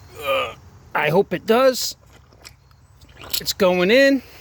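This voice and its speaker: Very slow speech from a man, with a dry, close sound with no echo and noticeable background noise. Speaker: pressure washing business owner. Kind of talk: tutorial. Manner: casual, repetitive.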